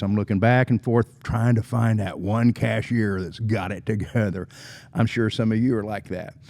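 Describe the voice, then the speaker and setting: A man speaks with an American accent. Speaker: leadership speaker and podcast host. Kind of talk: motivational podcast monologue. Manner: fast; animated.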